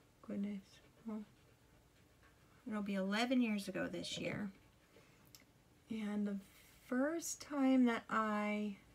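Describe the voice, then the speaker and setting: A woman speaks quietly and somewhat breathily at a fairly high pitch with ordinary pitch variation. Her very slow delivery has long, frequent pauses. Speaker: makeup tutorial vlogger. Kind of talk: makeup tutorial, casual chat. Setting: alone at home. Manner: talking quietly.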